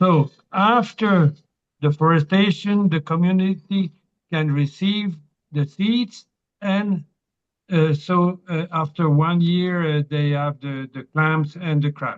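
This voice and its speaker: The speaker talks at a very slow pace with a French accent. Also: man, high pitch for a man, ordinary pitch variation. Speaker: meeting participant, reforestation project founder. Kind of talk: question and comment in video meeting. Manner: halting.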